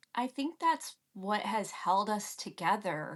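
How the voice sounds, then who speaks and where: A woman's bright, sharp voice in an American accent at a very slow pace against a quiet background. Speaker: political commentator. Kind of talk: interview podcast conversation.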